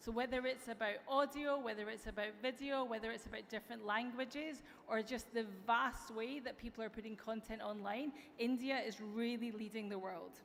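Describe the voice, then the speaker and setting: At a fairly quick pace, a woman with an American accent and a fairly high pitch speaks with fairly even intonation. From Europe. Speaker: tech company executive. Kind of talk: conference keynote speech. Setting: stage with audience. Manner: some filler hesitations (um).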